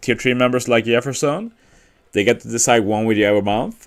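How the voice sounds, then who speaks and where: A man with a Swedish accent speaks with ordinary pitch variation. The recording is very clean, with a silent background. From Sweden. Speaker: gaming streamer. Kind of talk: casual live-stream chat. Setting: live stream at workplace.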